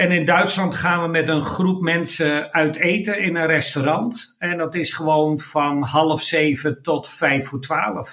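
Speaking very slowly, a man uses a fairly high pitch and a bright, sharp tone with fairly even intonation. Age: 60s. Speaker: professional speaker and consultant. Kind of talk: casual interview.

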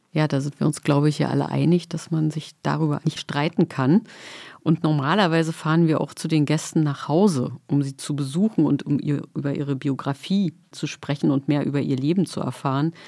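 In a very clean recording with a silent background, a woman with a very deep, low pitch and vocal fry speaks at a moderate pace, her tone dark and mellow and her intonation fairly even. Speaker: podcast host. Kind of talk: moderated interview. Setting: studio.

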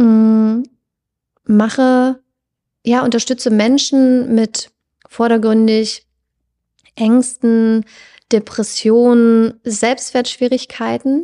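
A woman's fairly high pitch in a dark, mellow tone, very slow pace with long, frequent pauses, fairly even intonation, very even loudness, and a dry, close sound with no echo. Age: 30s. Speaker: psychologist and hypnotherapist. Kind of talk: casual interview.

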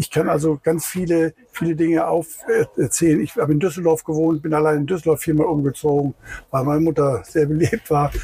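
Fairly quick speech with fairly even intonation has a dry, close sound with no echo, along with noticeable background noise. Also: man. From Rhineland, Germany. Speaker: beach tourist train driver. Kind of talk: casual interview. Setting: outdoors, in the tourist train.

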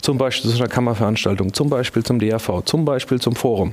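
A man at medium pitch and a very fast pace, ordinary pitch variation, noticeable background noise. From Lower Franconia, Germany (near Würzburg). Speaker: lawyer, law firm partner. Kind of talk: panel discussion. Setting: stage.

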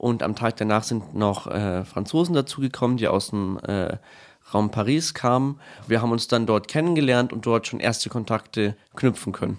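Against a quiet background, a man speaks in a normal speaking voice at medium pitch, with ordinary pitch variation and a moderate pace. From Bavaria, Bad Tölz. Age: 20s. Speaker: altar server, incoming teacher-training student. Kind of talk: casual interview.

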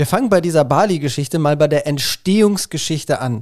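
With lively intonation, a man speaks at a moderate pace in a normal speaking voice. The recording is very clean, with a silent background. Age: 40s. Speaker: podcast host talking with his ill mother. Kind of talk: casual family conversation.

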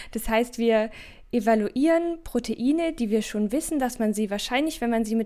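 On a very clean recording over a silent background, a woman speaks with a fairly high pitch. Her tone is dark and mellow, and her pitch varies in an ordinary way. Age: 20s. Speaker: doctoral researcher in pharmacy. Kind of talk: podcast interview.

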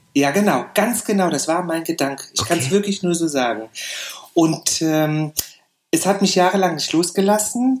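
Here a man speaks with a high pitch. His intonation is lively and his pace moderate. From Saarland, Germany. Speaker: hairdresser and educator. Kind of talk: interview.

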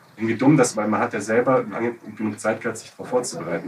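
Noticeable background noise sits behind a man talking at a fairly low pitch. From Bavaria, Munich. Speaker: podcast co-host. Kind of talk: casual discussion.

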